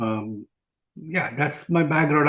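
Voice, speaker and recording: A man with an Indian accent talks at a fairly high pitch. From India (Jamshedpur). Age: 60s. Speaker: physician and speaker. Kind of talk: interview. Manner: hesitant, many fillers.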